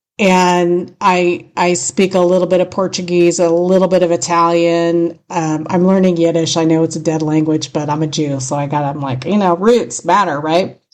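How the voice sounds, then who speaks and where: A woman with a strong Californian accent, fairly low in pitch, with fairly even intonation and hardly any pauses. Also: moderate pace. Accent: thick California. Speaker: radio host. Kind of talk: casual chat.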